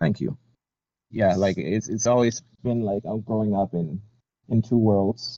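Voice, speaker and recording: Slow-paced and fairly low in pitch, a man speaks with a slight American accent and a dark, mellow tone. His pitch varies in an ordinary way, and he leaves long, frequent pauses. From United States. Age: 20s. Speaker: Navy veteran, podcast guest. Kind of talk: interview. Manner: many fillers and repetitions.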